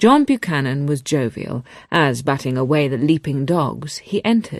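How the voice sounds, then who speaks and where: A woman with a very deep, low pitch speaks with lively intonation at a moderate pace against a quiet background. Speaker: audiobook narrator. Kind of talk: radio book reading.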